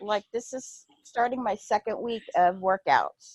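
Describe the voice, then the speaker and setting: The dry, close sound with no echo carries a woman's fairly high voice with ordinary pitch variation. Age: 60s. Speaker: new fitness coach. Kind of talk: video team call. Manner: halting.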